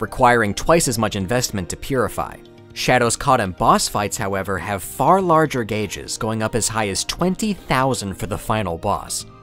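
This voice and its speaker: With music playing in the background, a man speaks with lively intonation. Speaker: gaming video essayist. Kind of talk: scripted narration.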